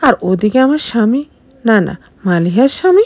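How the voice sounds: This woman's voice has a dark, mellow tone at a fairly high pitch. She moves at a moderate pace with big pitch swings.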